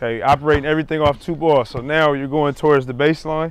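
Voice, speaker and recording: Heard at a moderate pace, a man talks in a dry sound with no echo. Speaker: basketball coach. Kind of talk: coaching instructions. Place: street.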